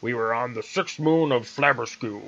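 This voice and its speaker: In a put-on character voice, a man speaks at a medium pitch with ordinary pitch variation. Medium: read story. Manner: loud, blustering.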